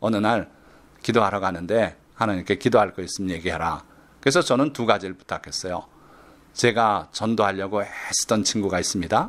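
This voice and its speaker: In a very clean recording with a silent background, a man speaks in a calm tone at a moderate pace. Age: 60s. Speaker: pastor and retired professor. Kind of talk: sermon. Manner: calm storytelling with hesitation fillers.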